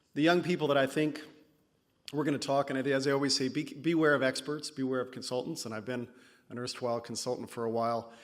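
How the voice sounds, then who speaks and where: Very fast speech comes from a man with a medium pitch and fairly even intonation. The recording is very clean with a silent background. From California. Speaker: conference speaker, PhD candidate. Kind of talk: conference talk. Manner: hesitant, with fillers.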